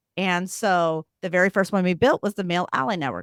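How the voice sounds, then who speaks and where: With an American accent, a woman speaks in an animated tone at a moderate pace, the sound dry and close with no echo. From US Midwest (Missouri, small town). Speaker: CEO and diversity advocate in finance. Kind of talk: podcast interview. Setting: live forum.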